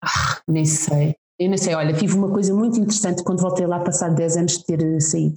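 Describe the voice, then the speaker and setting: A woman with an unremarkable speaking voice talks at a fairly quick pace and fairly low pitch, with fairly even intonation and very even loudness. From Portugal (Lisbon), teen years in Macau. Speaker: communications adviser, mother. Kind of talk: casual interview chat.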